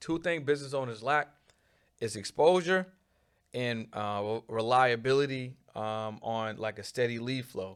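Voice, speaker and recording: This is a normal speaking voice from a man with an American accent. His pitch varies an ordinary amount. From Boston, Mattapan neighborhood. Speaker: marketing agency owner. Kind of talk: casual interview chat.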